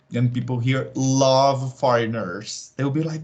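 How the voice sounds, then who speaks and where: Somewhat breathy, a man with a Brazilian accent speaks fairly slowly at medium pitch. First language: Portuguese. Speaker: tarot reader. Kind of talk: casual chat. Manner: halting.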